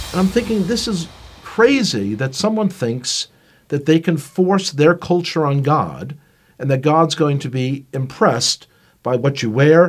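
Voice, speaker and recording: Recorded very cleanly against a silent background, a man with a New York accent and a fairly high pitch speaks at a fairly slow pace with lively intonation. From Brooklyn, New York. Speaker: Bible teacher. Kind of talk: personal testimony.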